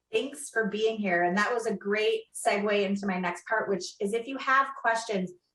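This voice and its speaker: At a moderate pace, a woman with a plain, everyday voice speaks with hardly any pauses and ordinary pitch variation. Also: fairly high pitch for a woman. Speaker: panel moderator. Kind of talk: online panel discussion.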